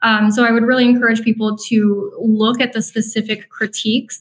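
At a moderate pace, a woman with an American accent talks in a normal speaking voice with a fairly high pitch. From northern Minnesota. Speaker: CEO of a conservative environmental group. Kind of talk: interview conversation.

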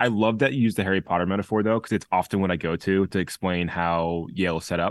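Very deep and low, a man's voice moves at a very fast pace with very even loudness, recorded dry and close with no echo on a very clean recording with a silent background. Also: ordinary pitch variation. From US Northeast, Connecticut. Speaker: leadership and performance coach. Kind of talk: interview conversation.

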